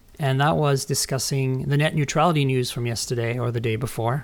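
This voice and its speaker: At a moderate pace, a man with a medium pitch talks in an unremarkable speaking voice. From Canada and France. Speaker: tech podcast host. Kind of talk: casual chat.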